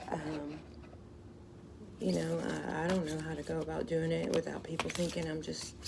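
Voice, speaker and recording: A woman with a Southern accent amid noticeable background noise and audible room echo. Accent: Southern, sounds country. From US South, Louisiana. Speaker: tarot card reader. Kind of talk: casual card reading vlog. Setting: outdoors. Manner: halting, self-correcting.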